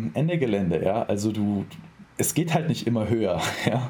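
Noticeable background noise sits under this recording. A man speaks at a moderate pace with lively intonation. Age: 20s. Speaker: bodybuilding athlete and sports science student. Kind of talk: casual interview conversation.

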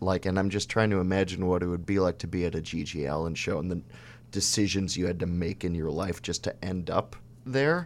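A man with an American accent and a very deep, low pitch, ordinary pitch variation and a moderate pace, in a very clean recording with a silent background. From Chicago. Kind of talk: casual interview chat.

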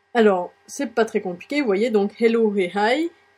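Her pitch varies in an ordinary way as a woman talks at a fairly slow pace. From France. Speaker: blogger. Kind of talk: tutorial. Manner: hesitant.

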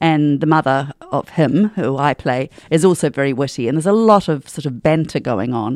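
With a New Zealand accent, a woman talks at a moderate pace, her pitch very deep and low. Her intonation is lively, with hardly any pauses. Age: 60s. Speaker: stage actor. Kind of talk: interview. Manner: animated.

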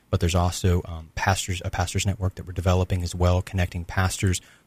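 Very fast and monotone, a man speaks with a very deep, low pitch and a somewhat breathy voice. The recording is very clean with a silent background and a dry, close sound with no echo. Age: 20s. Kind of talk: radio interview. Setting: radio studio.

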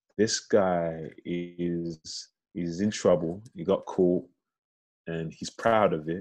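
A man speaks in a London accent at a very deep, low pitch. His pace is very slow and his intonation fairly even. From East London (Canning Town), Nigerian heritage. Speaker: actor. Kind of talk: casual interview chat. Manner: halting, many fillers and repetitions.

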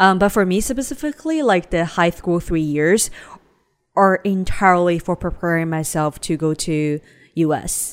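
The speaker has a Chinese accent and talks at a moderate pace with ordinary pitch variation. The recording is very clean, with a silent background. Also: woman, fairly low pitch for a woman. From China (Shanghai). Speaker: podcast co-host. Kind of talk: casual chat.

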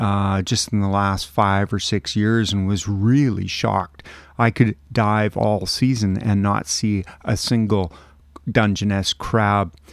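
A normal speaking voice from a man, fairly low in pitch, with fairly even intonation and a fairly slow pace. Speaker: crab monitoring volunteer. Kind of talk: casual interview chat.

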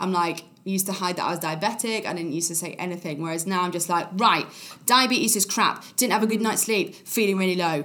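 In an East Midlands accent, a woman talks at a very fast pace and medium pitch with ordinary pitch variation. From Nottingham, England. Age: 20s. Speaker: actress. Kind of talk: casual chat.

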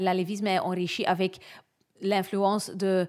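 Over a silent background in a very clean recording, a woman speaks at a very slow pace. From Limburg, Belgium. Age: 30s. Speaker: lab supervisor. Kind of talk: interview testimony.

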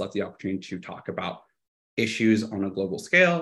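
Pitched fairly low, a man talks in a plain, everyday voice. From Texas (Austin), born in Guadalajara, Mexico. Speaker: political activist and candidate. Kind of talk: interview.

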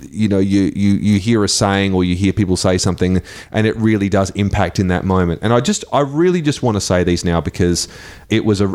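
This man talks fairly quickly. An Australian accent marks his speech. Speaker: radio host. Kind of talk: live radio chat. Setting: studio.

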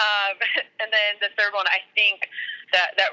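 The sound is dry and close with no echo. A woman speaks at a moderate pace. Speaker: sideline reporter and podcast host. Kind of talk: casual interview conversation. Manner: halting, filler words.

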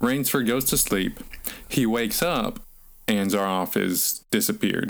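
This man talks at a fairly slow pace. He has a Southern US accent. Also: very even loudness. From North Alabama. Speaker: podcast co-host, author. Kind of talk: casual chat about books.

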